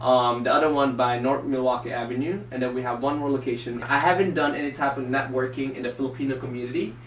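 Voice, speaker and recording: Very fast and with hardly any pauses, a man talks at medium pitch with fairly even intonation. Room echo and noticeable background noise can be heard. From Philippines, moved to Chicago at 10-11. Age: 20s. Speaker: entrepreneur being interviewed. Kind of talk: interview.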